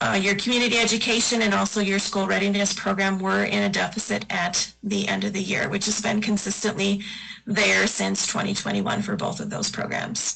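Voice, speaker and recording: A woman talks at a fairly quick pace, her loudness staying very even throughout. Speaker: auditor. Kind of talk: financial presentation to school board. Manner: fast.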